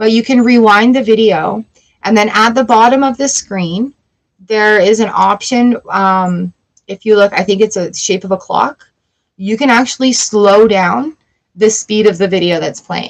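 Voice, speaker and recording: A woman speaks at a fairly slow pace. Her voice is fairly high, with ordinary pitch variation. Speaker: tarot reader. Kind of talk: live-stream tarot reading. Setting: home studio live stream. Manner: animated.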